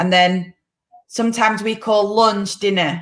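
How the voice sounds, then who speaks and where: A woman in a British accent speaks with a bright, sharp tone. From UK. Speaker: podcast host. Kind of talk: casual chat. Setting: live video stream.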